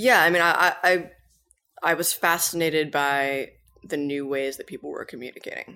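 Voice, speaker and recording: On a very clean recording with a silent background, a woman with a fairly low pitch talks at a moderate pace in a plain, everyday voice with ordinary pitch variation. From Massachusetts (Cambridge). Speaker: startup founder and CEO. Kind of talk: interview.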